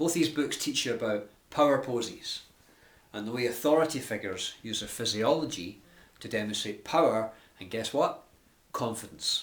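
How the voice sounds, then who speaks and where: A man with a Glasgow accent, big swings in loudness, and long, frequent pauses. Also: medium pitch for a man, ordinary pitch variation. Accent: Scottish (Glasgow). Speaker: life and business coach. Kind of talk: tutorial. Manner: fast; animated.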